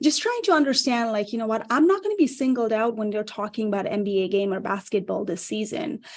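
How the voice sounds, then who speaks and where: In a Nepali accent, a woman speaks at a fairly high pitch with ordinary pitch variation. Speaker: career coach. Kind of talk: panel talk show discussion. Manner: animated.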